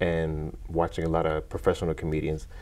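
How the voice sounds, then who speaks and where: This man's voice is very deep and low. His delivery moves at a medium speed. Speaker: stand-up comedian. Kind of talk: interview. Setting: studio.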